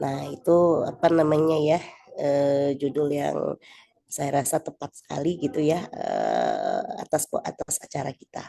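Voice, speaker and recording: A woman speaks softly. The sound is dry and close, with no echo. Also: fairly slow pace. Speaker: event organizer. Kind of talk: meeting announcement. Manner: soft-spoken; halting.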